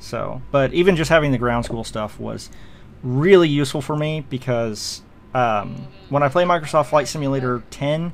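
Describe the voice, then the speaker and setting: Male speech with ordinary pitch variation. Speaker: video game commentator. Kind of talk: gameplay commentary. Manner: fast; casual with many fillers.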